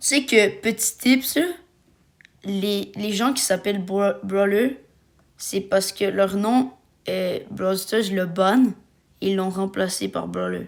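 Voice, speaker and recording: A woman with a Quebec accent speaks very slowly at a medium pitch, with ordinary pitch variation and long, frequent pauses. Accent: Québécois French. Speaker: gaming YouTuber. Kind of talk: casual gaming chat.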